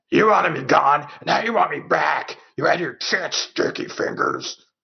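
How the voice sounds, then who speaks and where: A man puts on a growling character voice. He keeps a moderate pace. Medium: read story. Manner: gruff, rough-spoken.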